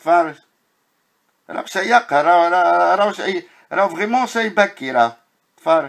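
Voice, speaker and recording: A man speaks in an animated tone with lively intonation and a high pitch, leaving long, frequent pauses. The recording is very clean, with a silent background. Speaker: video blogger. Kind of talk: narrated walking video commentary. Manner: animated, exclamatory.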